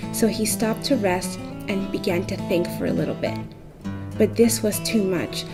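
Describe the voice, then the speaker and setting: Music behind a woman's moderately paced speech. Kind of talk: read story. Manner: soft-spoken, ASMR.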